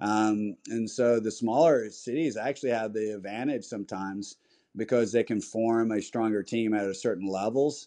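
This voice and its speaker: Over a quiet background, a man with an American accent talks at a moderate pace and medium pitch. His tone is dark and mellow, and his intonation fairly even. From US South, small town. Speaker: tennis director and coach. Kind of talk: interview. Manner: halting, many fillers.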